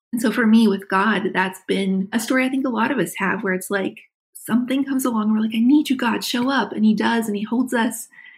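Fairly quick female speech, somewhat breathy, with ordinary rise and fall in pitch. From West Virginia. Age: 40s. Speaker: author. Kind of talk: interview conversation. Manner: animated.

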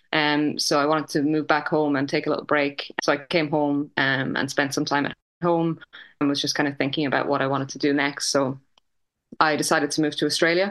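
The speaker has an Irish accent. The intonation is monotone and flat. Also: woman, very deep, low pitch for a woman, fairly quick pace, quiet background. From Ireland, midlands (Westmeath). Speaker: chef and food business co-founder. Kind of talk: interview conversation.

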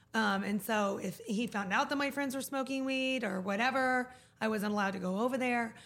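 In an American accent, a woman talks at a fairly quick pace and fairly high pitch with ordinary pitch variation, with noticeable background noise behind her. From Oklahoma. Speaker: dispensary owner. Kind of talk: casual chat. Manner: rambling.

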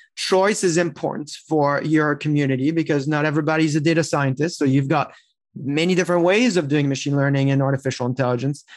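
A man speaks very fast in a French accent, his pitch fairly high with ordinary variation. Loudness stays very even, and the recording is very clean with a silent background. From France. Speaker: tech executive. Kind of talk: interview.

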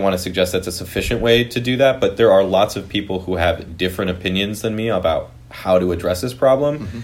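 In a Californian accent, a man talks at a fairly quick pace with ordinary pitch variation. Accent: Californian American. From US West Coast (Piedmont, East Bay, California). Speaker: housing advocacy group representative. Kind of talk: interview.

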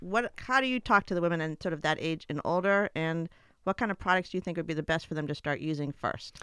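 A woman with a normal speaking voice talks at a fairly low pitch and a fairly quick pace. Her pitch varies in an ordinary way in a very clean recording with a silent background. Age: 50s. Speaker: podcast host, former attorney. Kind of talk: interview; scripted intro. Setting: studio.

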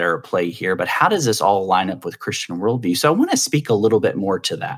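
A man with a fairly low pitch talks in a plain, everyday voice. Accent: American. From US South. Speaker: podcast host. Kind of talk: interview conversation.

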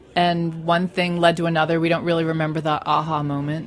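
A woman with an American accent speaks with fairly low pitch and fairly even intonation. Room echo is audible. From Staten Island, New York. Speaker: magazine founder. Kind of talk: casual chat. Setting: studio.

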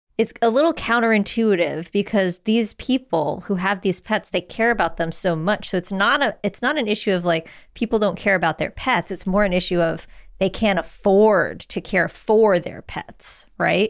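A woman with an unremarkable speaking voice talks at medium pitch and a moderate pace with ordinary pitch variation. The recording is very clean, with a silent background. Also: hardly any pauses. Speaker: podcast host. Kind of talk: podcast interview and intro narration.

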